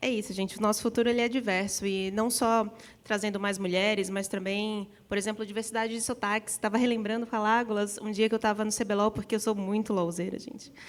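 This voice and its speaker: Fairly high in pitch, a woman talks at a very fast pace with a northeastern Brazilian accent. Her intonation is monotone and flat. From Northeast Brazil. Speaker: panelist in gaming industry. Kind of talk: panel discussion.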